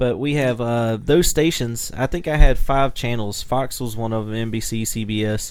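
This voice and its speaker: This is a man speaking. He has a normal speaking voice. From US South. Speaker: podcast co-host, musician. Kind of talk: casual chat.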